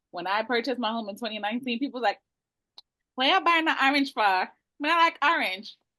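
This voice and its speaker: A woman with a Jamaican accent speaks at a fairly high pitch. Her tone is animated, with very wide pitch swings. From Brooklyn, New York (East New York), Jamaican family. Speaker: realtor. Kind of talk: webinar presentation. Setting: video call.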